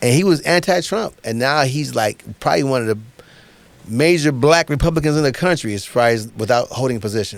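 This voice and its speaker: At a fairly quick pace, a man talks at a medium pitch with lively intonation. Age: 60s. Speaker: comedian. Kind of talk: casual chat.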